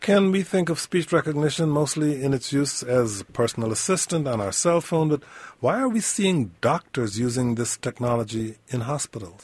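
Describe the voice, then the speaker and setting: Somewhat breathy, a man talks at a moderate pace with lively intonation and hardly any pauses. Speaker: radio talk show host. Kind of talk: radio interview and call-in show. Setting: radio studio.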